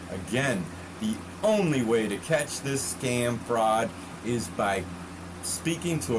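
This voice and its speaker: With an American accent and lively intonation, a man speaks at a medium pitch amid noticeable background noise and audible room echo. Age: 60s. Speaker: consumer warning vlogger. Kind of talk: casual monologue. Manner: halting, repetitive; animated.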